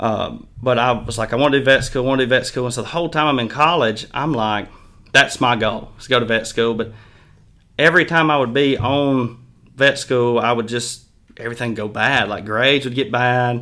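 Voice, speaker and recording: A man with a Mississippi accent speaks at a moderate pace. His pitch is medium and his intonation fairly even. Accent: Mississippi Southern. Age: 20s. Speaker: horse trainer. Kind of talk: casual interview chat.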